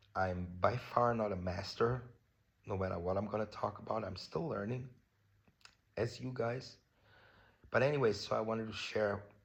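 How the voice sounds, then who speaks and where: A man with a fairly low pitch speaks at a moderate pace, somewhat breathy. He leaves long, frequent pauses, with ordinary pitch variation. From Germany. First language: German. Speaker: vlogger. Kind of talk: personal vlog talk on self-love. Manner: casual, many fillers.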